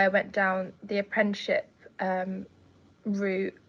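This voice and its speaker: A woman speaks in an English accent at a medium pitch. The background is quiet. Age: 20s. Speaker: care leaver and student. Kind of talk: testimony. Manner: halting, with many fillers.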